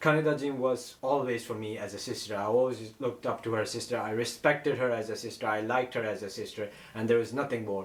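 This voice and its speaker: With a non-native accent, a man talks very fast at medium pitch with ordinary pitch variation amid noticeable background noise. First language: not English. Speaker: YouTuber. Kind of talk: personal story vlog. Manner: halting.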